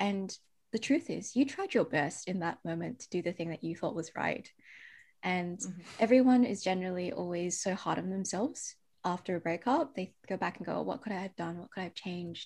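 A woman speaks in a somewhat breathy voice at a fairly quick pace. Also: medium pitch for a woman, ordinary pitch variation, very clean recording, silent background. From Perth, Western Australia. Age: 30s. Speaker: autoimmune coach. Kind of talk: casual interview chat. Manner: animated.

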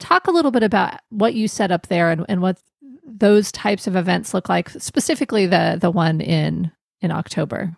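The woman's voice comes at a moderate pace with a dry, close sound and no echo. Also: very clean recording, silent background. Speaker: podcast host. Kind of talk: casual interview chat.

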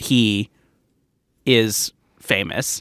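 A man's bright, sharp voice with an American accent. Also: dry, close sound with no echo. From US West Coast, Orange County, California. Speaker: comedian. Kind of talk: casual chat.

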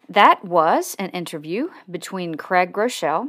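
Fairly slow and lively in intonation, a woman talks in a medium pitch with an ordinary speaking voice. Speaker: podcast host. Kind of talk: show intro and outro.

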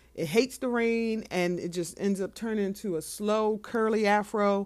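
A woman's voice at a medium pitch. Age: 40s. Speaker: podcast host. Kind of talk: casual solo monologue. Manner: fast when excited; hesitant with fillers.

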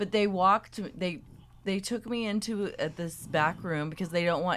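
At a fairly quick pace, a woman speaks in a plain, everyday voice with ordinary pitch variation. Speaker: co-host guest, friend of host. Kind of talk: casual chat. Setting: studio.

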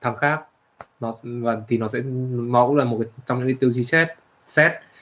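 A man with a medium pitch talks at a moderate pace, using ordinary pitch variation. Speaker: co-host, computer science background. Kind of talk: casual livestream chat. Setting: livestream.

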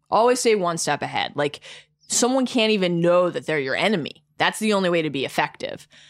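With an unremarkable speaking voice, a woman talks at a moderate pace in a medium pitch, her intonation lively. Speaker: sports media editor and podcaster. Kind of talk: casual banter.

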